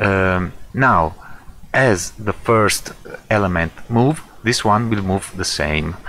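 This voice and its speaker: Speaking with a non-native accent, a man uses a fairly low pitch with ordinary pitch variation, talking at a very slow pace with long, frequent pauses. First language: not English. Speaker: software tutorial creator. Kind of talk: tutorial. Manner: halting, many fillers.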